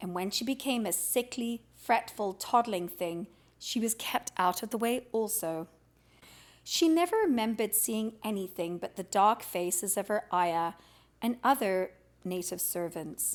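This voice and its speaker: A woman with a plain, everyday voice speaks at a fairly slow pace, her fairly high pitch carried by lively intonation. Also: very clean recording, silent background. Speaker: audiobook reader. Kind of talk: audiobook reading of a classic children's novel.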